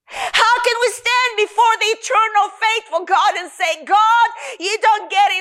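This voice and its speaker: Raised and projected, a woman's voice sits at an extremely high pitch with a bright, sharp tone and a moderate pace. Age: 50s. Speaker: preacher. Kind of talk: sermon. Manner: animated.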